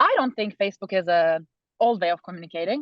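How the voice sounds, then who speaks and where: A woman speaks with a Turkish accent at a medium pitch. Her pace is fairly quick. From Turkey. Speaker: student election candidate. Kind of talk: interview. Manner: halting.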